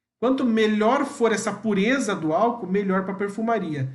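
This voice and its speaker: This man's voice sits high in pitch and moves at a fairly slow pace. Room echo can be heard around him. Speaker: perfumer and pharmacist trainer. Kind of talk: live training session. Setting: livestream.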